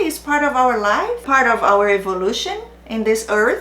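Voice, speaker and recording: A woman with a Brazilian accent talks over noticeable background noise, with audible room echo. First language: Portuguese. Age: 40s. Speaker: narcissistic abuse awareness YouTuber. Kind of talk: direct-to-camera channel introduction. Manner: non-native, occasional hesitations.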